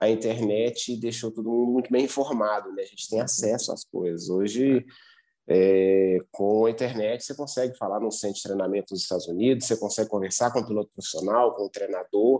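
Over a quiet background, the voice has a dark, mellow tone, fairly even intonation, and a fairly quick pace. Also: man, medium pitch for a man. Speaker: motocross racer and team manager. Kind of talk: casual interview.

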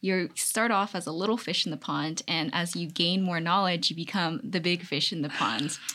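A woman, using a normal speaking voice, talks at a moderate pace. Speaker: college student, math major. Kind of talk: casual interview.

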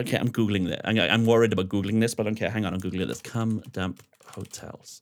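With a South Wales accent, a man talks at a very fast pace in an animated tone and fairly low pitch. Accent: Welsh (South Wales). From Wales, Swansea. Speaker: DJ and radio host. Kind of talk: casual chat. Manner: animated, outgoing.

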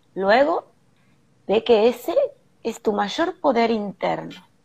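At a very slow pace, a woman speaks with a fairly high pitch, a dark, mellow tone and lively intonation. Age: 50s. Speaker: holistic therapist. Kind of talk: live stream panel discussion. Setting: hotel room, video call.

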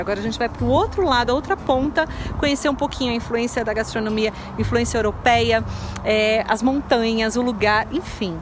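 Very fast speech with ordinary pitch variation and a Brazilian accent, amid noticeable background noise. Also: woman. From Brazil, São Paulo state. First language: Portuguese. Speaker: podcast host. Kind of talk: casual chat.

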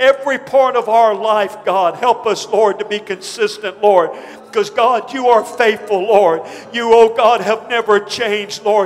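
Over noticeable background noise, a man with a high voice talks at a moderate pace with fairly even intonation. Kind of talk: congregational prayer led aloud. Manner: fervent, pleading, repeatedly addressing God.

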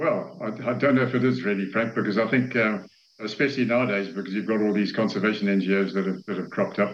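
A man's fairly low voice races at a very fast pace, its pitch shifting in an ordinary way. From Zambia. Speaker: safari guide and camp owner. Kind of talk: interview. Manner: halting.

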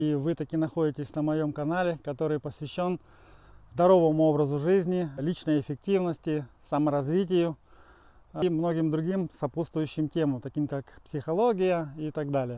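This man has an unremarkable speaking voice and fairly even intonation. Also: fairly high pitch for a man, moderate pace. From Ukraine, Dnipro. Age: 40s. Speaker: life coach. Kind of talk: channel trailer monologue. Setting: outdoors on a run.

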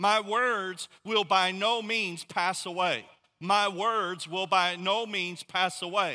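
In a raised, projected voice with a bright, sharp tone and high pitch, a man speaks at a very slow pace with fairly even intonation on a very clean recording with a silent background. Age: 40s. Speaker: pastor. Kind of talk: sermon.

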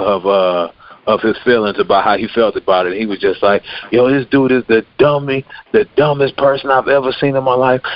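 A man with an American accent and an unremarkable speaking voice talks at a medium pitch and a moderate pace with ordinary pitch variation. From Nigerian American, US. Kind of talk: casual chat.

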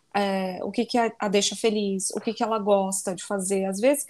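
Woman at a moderate pace, in a very clean recording with a silent background. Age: 20s. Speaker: life coach and lawyer. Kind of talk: casual interview chat.

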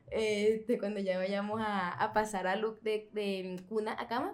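With ordinary pitch variation, a woman speaks in a plain, everyday voice at a fairly high pitch. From Venezuela. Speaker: podcast host. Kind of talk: interview.

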